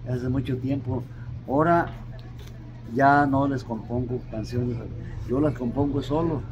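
There is noticeable background noise while a man talks. He keeps fairly even intonation and takes long, frequent pauses. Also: medium pitch for a man, fairly slow pace. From Morelia, Michoacán, Mexico; Michoacán, Mexico. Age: 80s+. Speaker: furniture vendor. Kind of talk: interview answer. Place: street. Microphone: camera far.

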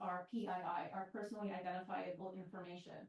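A woman at a moderate pace, her intonation fairly even. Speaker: resident asking questions. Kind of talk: public Q&A question. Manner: quiet, soft-spoken.

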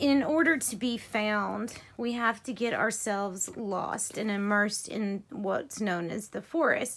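The speech comes at a fairly slow pace against a quiet background. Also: woman. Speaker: tarot reader. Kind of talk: tarot reading narration. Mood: calm, gentle. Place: home room. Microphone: phone near.

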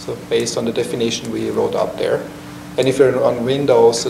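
Noticeable background noise sits behind a man talking. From Switzerland. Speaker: software developer, meetup presenter; presenter. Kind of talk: technical lecture. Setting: meetup room with live audience. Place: meeting room. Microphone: camera far.

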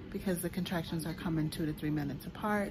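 A woman speaks in a fairly low, somewhat breathy voice with a dark, mellow tone. Her intonation stays fairly even over noticeable background noise. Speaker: expectant mother vlogger. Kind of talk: casual vlog chat. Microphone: phone near.

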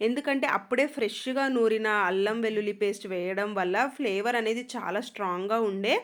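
Speech in a Kannada accent comes through over noticeable background noise. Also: woman, fairly high pitch for a woman, ordinary pitch variation, very even loudness. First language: Kannada (speaking Telugu). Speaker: cooking and family vlogger. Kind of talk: cooking tutorial voiceover. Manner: casual, conversational narration.

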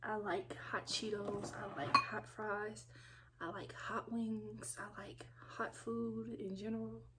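A woman at a very slow pace, with noticeable background noise. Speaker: food vlogger. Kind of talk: casual vlog chat. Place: home room. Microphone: phone near.

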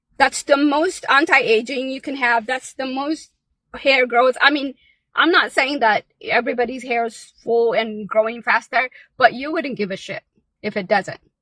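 A woman speaks in a raised, projected voice with a bright, sharp tone at a moderate pace and ordinary pitch variation. Her loudness swings widely, and the sound is dry and close with no echo. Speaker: live-stream vlogger. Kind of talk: pep talk; casual live chat. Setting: outdoors, in a car at a park, live stream. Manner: animated, urgent, rallying, challenging the audience; energetic, chatty.

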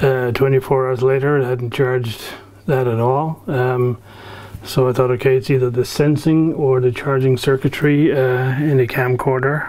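The speaker is a man going at a moderate pace. His intonation is monotone and flat. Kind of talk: casual tutorial chat. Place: workshop.

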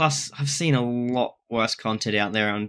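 A man speaks with a strong Australian accent. His pitch varies in an ordinary way. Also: quiet background. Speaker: content creator. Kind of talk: reaction video. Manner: fast; animated. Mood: relaxed, mildly defensive. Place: home room. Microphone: webcam.

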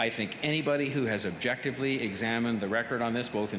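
A man speaks with fairly even intonation. Noticeable background noise runs beneath his voice. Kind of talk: press conference answer. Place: hall. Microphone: podium.

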